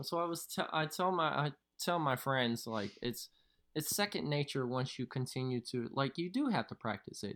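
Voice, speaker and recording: Lively intonation from a man with a fairly high pitch, at a moderate pace, on a very clean recording with a silent background. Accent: Southern US. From Louisville, Kentucky. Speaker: professional dancer. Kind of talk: casual interview.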